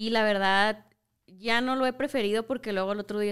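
A woman with an unremarkable speaking voice talks at a moderate pace, fairly high in pitch and with fairly even intonation. The recording is very clean, with a silent background. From Mexico, Culiacán, Sinaloa. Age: 20s. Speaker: visual artist and photographer. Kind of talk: casual interview chat.

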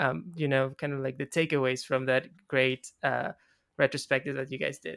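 Here is a normal speaking voice at a moderate pace with ordinary pitch variation. The sound is dry and close with no echo, and the recording is very clean over a silent background. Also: man, medium pitch for a man. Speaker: podcast host. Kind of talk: casual conversation, interview.

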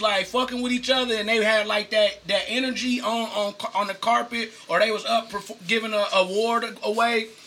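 Over noticeable background noise, a man projects a raised voice at an extremely high pitch and a moderate pace. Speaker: podcast co-host. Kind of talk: casual chat.

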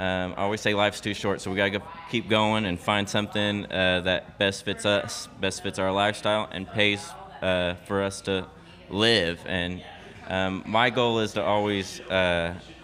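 At a fairly slow pace, a man with a normal speaking voice talks in a fairly low pitch with fairly even intonation. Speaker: coffee shop owner. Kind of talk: casual interview. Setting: coffee shop.

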